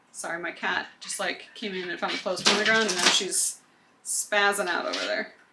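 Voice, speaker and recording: Over noticeable background noise, a woman speaks at a fairly quick pace in a medium pitch with fairly even intonation. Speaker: book vlogger. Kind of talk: casual vlog narration.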